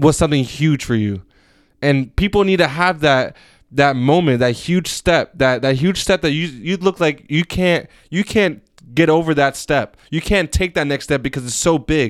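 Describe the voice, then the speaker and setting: This man has an ordinary speaking voice at a fairly high pitch, talking at a moderate pace. The recording is very clean, with a silent background. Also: ordinary pitch variation. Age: 20s. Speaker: podcast host. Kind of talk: casual chat.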